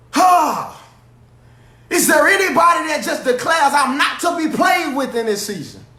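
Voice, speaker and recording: A man in a raised, projected voice with an animated tone and lively intonation, at a moderate pace, amid noticeable background noise and audible room echo. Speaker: pastor. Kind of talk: sermon. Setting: livestream. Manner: loud.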